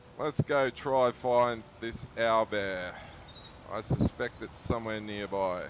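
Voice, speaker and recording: With an Australian accent, a man of medium pitch speaks at a very slow pace. His intonation is fairly even, and there is noticeable background noise. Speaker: gaming streamer. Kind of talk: casual chat.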